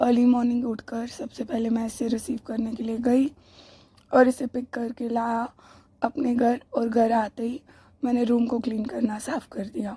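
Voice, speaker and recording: A high-pitched woman with a dark, mellow tone, speaking fairly slowly in a flat monotone. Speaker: vlogger. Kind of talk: casual vlog narration.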